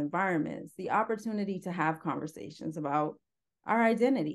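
With lively intonation, a woman in a plain, everyday voice speaks at a medium pitch against a quiet background. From Northern Ontario, Canada. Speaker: antiracism educator and former park interpreter. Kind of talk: interview.

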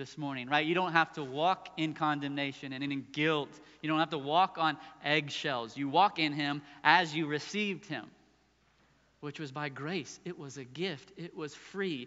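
A man with a fairly high pitch speaks at a fairly slow pace, his intonation fairly even but his loudness swinging widely. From US South, southeast Virginia (Suffolk). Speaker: pastor. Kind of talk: sermon. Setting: church.

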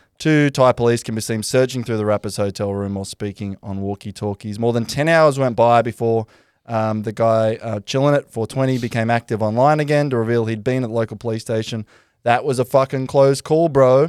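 A man's medium-pitched voice with an Australian accent, fairly quick and fairly even in intonation, in a dry, close sound with no echo. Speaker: podcast host. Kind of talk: casual chat.

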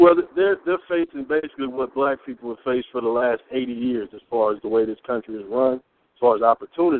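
Speaking at a fairly quick pace with ordinary pitch variation, a man with an American accent has a plain, everyday voice. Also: medium pitch for a man, big swings in loudness. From US Midwest, inner city Peoria, Illinois. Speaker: radio show co-panelist. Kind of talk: call-in radio discussion.

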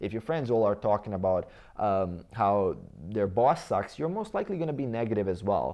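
Delivered at a very fast pace, the speech has lively intonation and a Croatian accent. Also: man. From Bosnia and Herzegovina. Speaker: fitness coach and YouTuber. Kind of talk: interview conversation.

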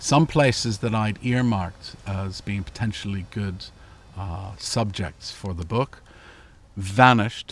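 Somewhat breathy and fairly slow, a man with a Canadian accent talks at a fairly low pitch with ordinary pitch variation. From Canada, southern Ontario. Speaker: author. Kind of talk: interview; reading aloud. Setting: outdoors.

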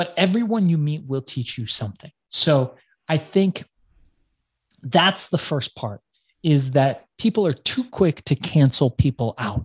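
Somewhat breathy man with an American accent, fairly high in pitch with very wide pitch swings, at a fairly slow pace, in a dry, close sound with no echo. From Los Angeles, US. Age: 40s. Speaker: author and entrepreneur. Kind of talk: interview conversation.

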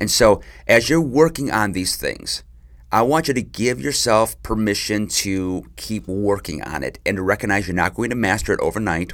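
On a very clean recording with a silent background, a man with fairly low pitch uses a normal speaking voice at a moderate pace with lively intonation. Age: 40s. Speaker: marriage podcast host. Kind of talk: solo advice podcast monologue.

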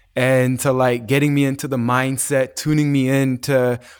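Speaking in a flat monotone at a medium pitch and moderate pace, a man is heard in a very clean recording with a silent background. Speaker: wellness entrepreneur and retreat organizer. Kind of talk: casual interview.

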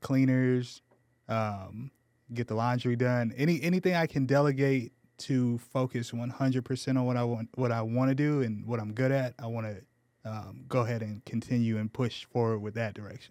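A man talks in an ordinary speaking voice with an American accent. His pace is moderate and his intonation fairly even. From Southern California, Menifee. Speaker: credit repair business owner. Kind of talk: radio interview. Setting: studio.

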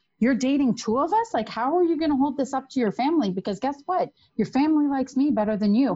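In a Canadian accent, a woman talks at a very fast pace with a high pitch, lively intonation and very even loudness. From Canada, Toronto. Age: 40s. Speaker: podcast guest, single mother. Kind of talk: casual chat, storytelling.

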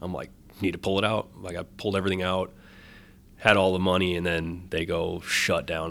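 A very deep, low-pitched man's voice in an American accent, monotone with flat intonation. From US Midwest, Wisconsin (Janesville). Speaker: ice cream vendor, former Marine. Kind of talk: casual interview.

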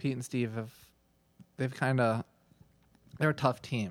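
Here a man talks with an American accent at a moderate pace. His intonation stays fairly even. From Minnesota. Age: 30s. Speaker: podcast host and golf coach. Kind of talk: casual chat.

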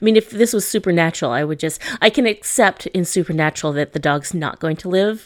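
In a plain, everyday voice, a woman speaks at a moderate pace with ordinary pitch variation, recorded very cleanly against a silent background. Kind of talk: casual chat about movies.

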